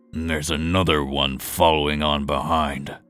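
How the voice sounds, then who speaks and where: In a put-on character voice, a man growls at a very deep, low pitch with monotone, flat intonation and a moderate pace over faint music in the background. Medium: read story. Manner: dry, understated.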